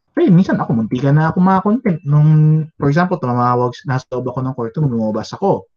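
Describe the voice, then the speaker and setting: This man has a normal speaking voice, with lively intonation and a moderate pace. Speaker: teacher. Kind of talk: lecture. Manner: conversational.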